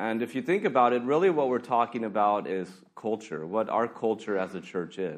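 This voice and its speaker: With an ordinary speaking voice, a man talks at a moderate pace and medium pitch, his intonation lively and hardly any pauses between words. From US, California. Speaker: pastor. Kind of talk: sermon. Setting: church.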